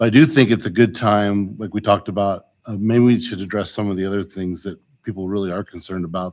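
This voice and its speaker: A soft-spoken man with a fairly low pitch talks at a very fast pace, with ordinary pitch variation and big swings in loudness. The recording is very clean with a silent background. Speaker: school board member. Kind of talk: board meeting discussion. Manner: halting.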